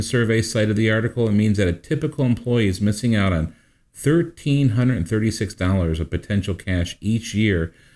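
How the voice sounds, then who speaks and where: An ordinary speaking voice moves at a fairly quick pace with hardly any pauses, ordinary pitch variation and very even loudness, on a very clean recording with a silent background. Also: man. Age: 50s. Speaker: financial advisor radio host. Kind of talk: casual chat.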